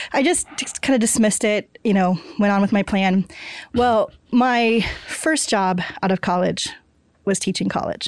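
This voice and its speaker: With an American accent and very even loudness, a woman speaks at a medium pitch with ordinary pitch variation and long, frequent pauses in a very clean recording with a silent background. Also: moderate pace. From Kansas. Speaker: mathematics professor. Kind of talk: interview conversation. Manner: halting, with frequent repeated words.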